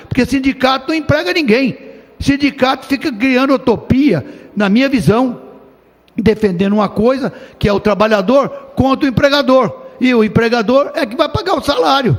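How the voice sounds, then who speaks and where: A man speaks at an extremely high pitch with ordinary pitch variation. His pace is moderate. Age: 70s. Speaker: state legislator. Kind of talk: parliamentary speech.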